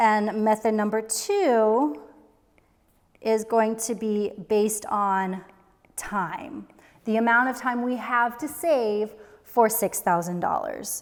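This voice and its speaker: Speaking at a very slow pace with long, frequent pauses, a woman uses a fairly high pitch and ordinary pitch variation. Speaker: personal finance youtuber. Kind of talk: tutorial. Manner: casual.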